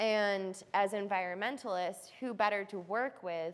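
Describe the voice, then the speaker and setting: With an American accent and a normal speaking voice, a woman talks at a fairly slow pace and a medium pitch with ordinary pitch variation, recorded very cleanly against a silent background. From New York. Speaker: environmental artist. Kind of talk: artist talk to audience. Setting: room with live audience.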